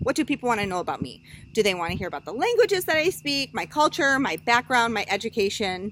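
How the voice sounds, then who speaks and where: At a very fast pace, a woman talks in a fairly high voice. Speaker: college student. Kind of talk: class presentation speech. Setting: outdoors with small audience. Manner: loud.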